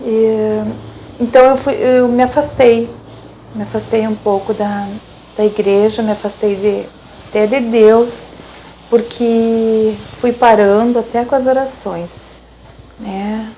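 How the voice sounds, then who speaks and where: A woman's fairly high, monotone voice with flat intonation, a very slow pace, long, frequent pauses, and noticeable background noise. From southern Brazil, Rio Grande do Sul interior. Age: 60s. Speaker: lay catechist and traffic documentation clerk. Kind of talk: personal testimony. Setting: her office. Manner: halting, many repetitions and fillers.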